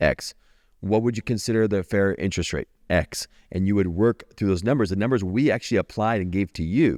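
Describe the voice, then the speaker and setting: A man's ordinary speaking voice, fairly low-pitched, at a fairly quick pace with ordinary pitch variation, in a dry, close sound with no echo and a very clean recording over a silent background. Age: 40s. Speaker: podcast host. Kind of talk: casual interview chat.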